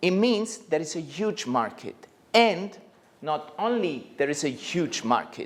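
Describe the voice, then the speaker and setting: A man with a Neapolitan accent speaks at a fairly slow pace in a high pitch with very wide pitch swings. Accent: Italian (Neapolitan). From Italy, Naples. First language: Italian. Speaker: plastic surgeon. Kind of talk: lecture. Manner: halting.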